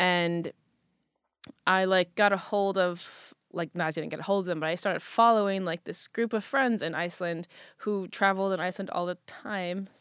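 An unremarkable speaking voice talks at a moderate pace with fairly even intonation. The recording is very clean, with a silent background and a dry, close sound with no echo. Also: woman, medium pitch for a woman. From US, moved around (California, Midwest, Massachusetts). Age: 20s. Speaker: content creator and photographer. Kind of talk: casual interview chat.

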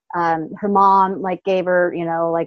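This woman has an unremarkable speaking voice with an American accent. Her pitch is fairly low and her intonation fairly even. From US Pacific Northwest, small town north of Seattle. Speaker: business coach. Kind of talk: interview.

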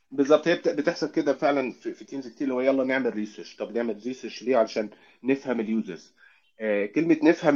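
A man's medium-pitched voice at a very fast pace. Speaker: UX research lead. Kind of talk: casual interview.

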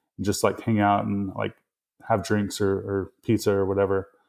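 A man with a slight Mississippi accent speaks at a fairly low pitch on a very clean recording with a silent background. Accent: Mississippi Southern US, slight. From Mississippi, US South. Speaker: developer advocate. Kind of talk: casual interview chat. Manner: fairly relaxed, hesitant with fillers.

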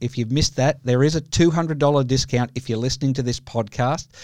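With hardly any pauses, a man with an ordinary speaking voice talks at a medium pitch and fairly even intonation, in a very clean recording with a silent background. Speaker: podcast host. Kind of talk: casual interview.

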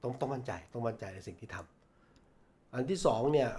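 Here a man speaks in a dark, mellow tone. There is some breathiness to it. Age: 50s. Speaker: veteran journalist and former media executive. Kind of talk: interview.

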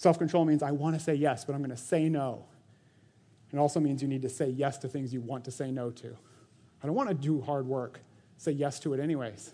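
Very fast speech from a man at a fairly high pitch, with a dark, mellow tone, fairly even intonation and a quiet background. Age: 40s. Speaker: church elder and preacher. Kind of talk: sermon. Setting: church. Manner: casual, conversational with frequent laughter.

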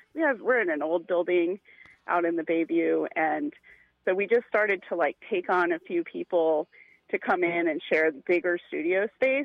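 A woman with an unremarkable speaking voice talks at a fairly slow pace. Her pitch is fairly low, with ordinary pitch variation. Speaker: arts collective performer. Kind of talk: casual interview chat. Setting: phone call.

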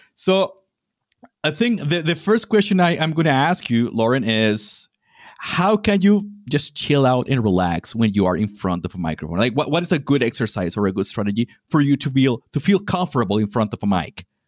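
A man speaks at a moderate pace in a medium pitch, with very wide pitch swings. The recording is very clean and the background silent. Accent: Spanish. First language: Spanish. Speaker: podcast host. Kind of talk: interview conversation. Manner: hesitant, many fillers.

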